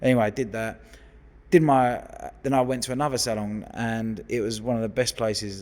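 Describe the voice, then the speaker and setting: This man has a London accent and a medium pitch. He talks at a fairly quick pace. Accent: London geezer, football lad. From West London, England. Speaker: hairdresser. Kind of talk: casual chat. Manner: animated.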